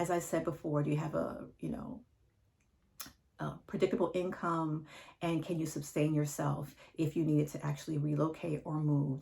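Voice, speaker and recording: A woman's very deep, low voice with a dark, mellow tone and vocal fry. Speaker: divorce coach. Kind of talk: advice monologue to camera.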